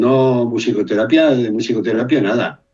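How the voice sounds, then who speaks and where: Male voice at medium pitch, with music in the background. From Brazil. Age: 60s. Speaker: music therapist and musician. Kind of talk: interview conversation. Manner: animated.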